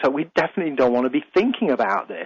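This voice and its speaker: A man in a British accent talks in a fairly high voice with very wide pitch swings. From UK. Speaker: radio host and life coach. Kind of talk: radio talk show monologue. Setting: radio studio.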